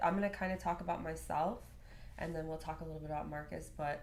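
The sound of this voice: The voice has vocal fry, fairly even intonation and an American accent. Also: woman.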